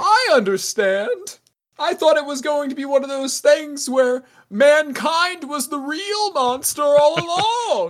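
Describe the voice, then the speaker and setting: The put-on character voice sits at a high pitch. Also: fairly slow pace. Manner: excitable, earnest.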